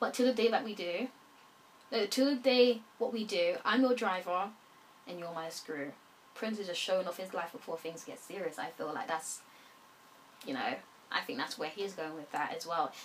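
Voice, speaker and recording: Speaking at a medium pitch with lively intonation, a woman swings widely in loudness and leaves long, frequent pauses over noticeable background noise. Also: moderate pace. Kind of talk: album review, casual talk to camera.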